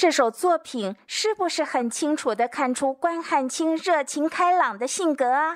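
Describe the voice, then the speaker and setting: A woman speaks in a high voice with very wide pitch swings. The background is quiet. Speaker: teacher. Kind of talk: educational lecture with poetry reading. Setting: home recording with voice recorder. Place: home room. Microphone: handheld.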